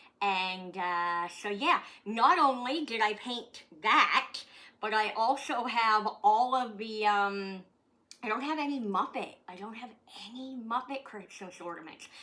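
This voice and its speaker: In a Maritime Canadian accent, a woman speaks at a fairly slow pace with a bright, sharp tone and a fairly high pitch, showing ordinary pitch variation and big swings in loudness. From Canada, Nova Scotia. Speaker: comedian. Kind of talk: casual chat. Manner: halting.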